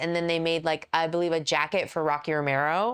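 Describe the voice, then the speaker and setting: On a very clean recording with a silent background, a woman with a fairly low voice speaks at a moderate pace. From Texas. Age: 40s. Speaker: professional wrestler. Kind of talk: casual interview chat.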